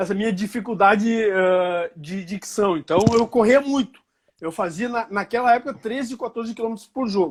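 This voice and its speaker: A man with a high pitch keeps a moderate pace, his pitch moving in an ordinary way. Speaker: football club director, former referee. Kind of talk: interview.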